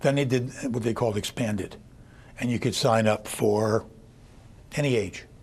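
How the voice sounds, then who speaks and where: Somewhat breathy and medium in pitch, a man speaks at a moderate pace with fairly even intonation and long, frequent pauses. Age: 60s. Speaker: kidney transplant recipient. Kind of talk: interview.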